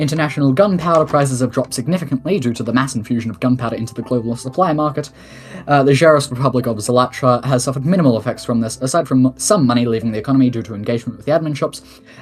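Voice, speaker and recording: A man talks very fast, his pitch varying in an ordinary way, while noticeable background noise runs beneath him. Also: medium pitch for a man. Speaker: head of state in a game roleplay community. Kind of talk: formal address reading a report.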